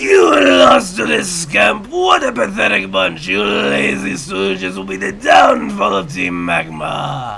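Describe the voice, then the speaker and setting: A man's strained, shouted character voice at a medium pitch, at a fairly slow pace with hardly any pauses. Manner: angry, scolding, theatrical.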